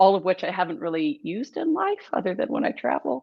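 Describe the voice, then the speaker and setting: A woman with an American accent, medium pitch, and very wide pitch swings. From US, Southern California and rural Missouri. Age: 40s. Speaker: brand storytelling and marketing expert. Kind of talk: podcast interview.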